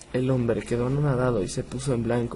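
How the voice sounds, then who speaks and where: A man's medium-pitched voice at a fairly quick pace, fairly even in intonation, over noticeable background noise. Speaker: horror story narrator. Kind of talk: horror story narration.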